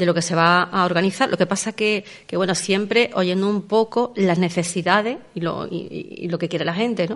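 A woman at a moderate pace, with ordinary pitch variation and a quiet background. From Andalusia, Los Barrios. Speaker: seniors' centre director. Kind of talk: radio interview.

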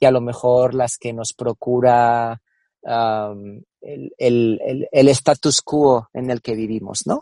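A man's dark, mellow tone with fairly even intonation, in a dry, close sound with no echo. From Spain, Cáceres (Extremadura). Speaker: marketing and innovation executive. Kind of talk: interview. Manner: halting, repeats words.

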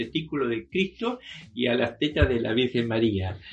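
Pitch swings very widely as this man talks. His voice has a somewhat breathy sound. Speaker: artist and retired museum worker. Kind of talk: interview. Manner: halting.

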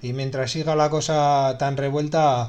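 Here a man talks at a fairly slow pace in an unremarkable speaking voice, pitched fairly high. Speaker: radio host. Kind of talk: radio music show presentation.

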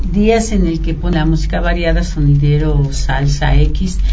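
A woman at a fairly slow pace, with audible room echo and noticeable background noise. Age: 50s. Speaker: radio guest, office worker. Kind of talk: radio interview. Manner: halting, many fillers.

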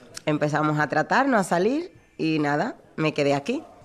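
Pitch swings very widely throughout. The pace is moderate. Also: woman. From Dominican Republic, Santo Domingo. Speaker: bar worker. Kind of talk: interview.

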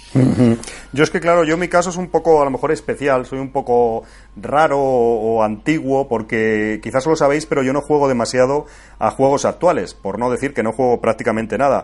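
A man's normal speaking voice at medium pitch, fairly quick pace and ordinary pitch variation. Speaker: podcaster and video game fan. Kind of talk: casual chat.

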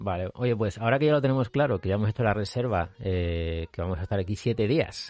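A man with a fairly low pitch speaks at a very fast pace with hardly any pauses and ordinary pitch variation. The sound is dry and close with no echo, over a quiet background. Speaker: podcast host. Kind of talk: interview. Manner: halting, many repetitions.

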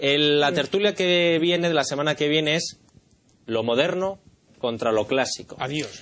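A man with a normal speaking voice goes at a fairly slow pace, his pitch varying in an ordinary way. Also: fairly high pitch for a man. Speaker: talk show host. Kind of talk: panel discussion.

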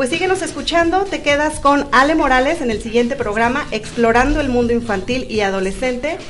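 Speaking at a fairly quick pace with hardly any pauses, a woman has a high pitch and lively intonation. Noticeable background noise and audible room echo are present. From Veracruz, Mexico. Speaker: radio host. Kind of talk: casual chat.

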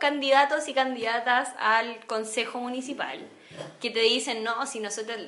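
A woman's high-pitched voice in a Chilean accent at a moderate pace, with noticeable background noise. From Chile, San Bernardo. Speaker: podcast co-host. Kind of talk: casual political discussion.

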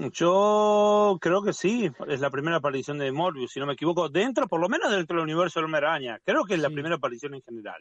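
Pitched high, a man races along at a very fast pace with lively intonation and hardly any pauses. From Argentina. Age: 40s. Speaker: comics YouTuber. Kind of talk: casual interview chat. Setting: video call.

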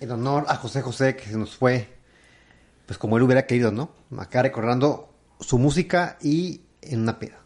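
A man's medium-pitched voice at a moderate pace, with ordinary pitch variation, long, frequent pauses and big swings in loudness. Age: 30s. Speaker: comedy podcast co-host. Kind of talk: casual chat.

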